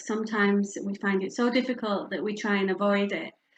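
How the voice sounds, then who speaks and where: In a northern English accent, a woman with a medium pitch talks at a moderate pace with fairly even intonation. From northern England, Yorkshire. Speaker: bereavement and palliative care speaker. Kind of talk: public talk.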